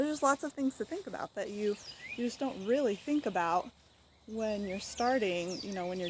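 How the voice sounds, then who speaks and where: A woman with an American accent, a fairly high pitch and lively intonation. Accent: southern US accent, comes and goes. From western US. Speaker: home cooking and food storage vlogger. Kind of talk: casual vlog talk. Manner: conversational, hesitant with fillers.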